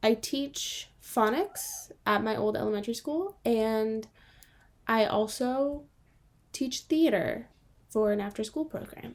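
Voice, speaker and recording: Lively intonation marks this woman's speech, delivered in a Californian accent. She talks at a very slow pace. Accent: Californian American English. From Southern California, South Bay of Los Angeles. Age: 20s. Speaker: podcast co-host and phonics teacher. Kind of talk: casual chat. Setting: podcast recording.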